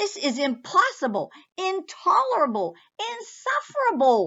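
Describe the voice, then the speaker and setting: Using a put-on character voice, a woman speaks in a raised, projected voice at a high pitch. Her pace is moderate. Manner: shaking with anger and disbelief; roaring, indignant.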